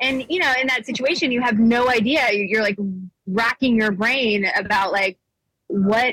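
In a normal speaking voice with an American accent, a woman speaks at a fairly slow pace with a fairly high pitch, ordinary pitch variation and very even loudness, in a dry, close sound with no echo. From US South, Nashville, Tennessee. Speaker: political activist and undercover video journalist. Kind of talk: casual interview. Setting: airport.

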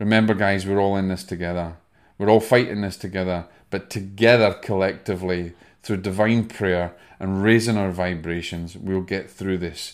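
Very deep and low, a man's voice carries a Scottish accent at a moderate pace. His intonation is monotone and flat in a very clean recording with a silent background. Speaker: spiritual medium and podcast host. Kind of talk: motivational talk with breathing instruction.

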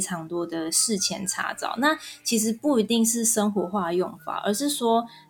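A woman speaks with lively intonation. Noticeable background noise runs beneath her voice. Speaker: Korean-Chinese translator. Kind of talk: interview. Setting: online recording.

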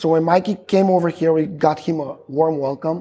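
Here a voice with a Macedonian accent has a dark, mellow tone, ordinary pitch variation and a moderate pace. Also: man. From North Macedonia, Stip. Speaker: logistics company employee. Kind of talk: casual chat. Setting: restaurant.

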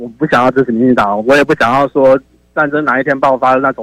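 In a dry, close recording with no echo, a man with a fairly high voice speaks at a very fast pace. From Taiwan, Taichung. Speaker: caller. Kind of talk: call-in opinion.

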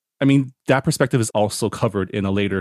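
Fairly quick pace and ordinary pitch variation. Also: man. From Toronto, Canada. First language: bilingual English and Chinese. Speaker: podcast co-host. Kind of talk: casual book discussion.

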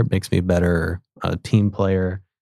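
A man with an American accent and a very deep, low pitch, a dark, mellow tone and a moderate pace, dry and close with no echo on a very clean recording with a silent background. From Oklahoma, near Tulsa. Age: 20s. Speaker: university student and intern team lead. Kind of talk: casual interview.

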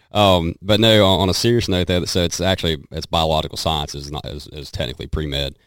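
A man with a Southern US accent talks at a very fast pace, his very deep, low voice showing vocal fry. His pitch variation is ordinary. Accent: Southern twang. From western North Carolina. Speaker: country singer and hunter. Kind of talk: casual chat.

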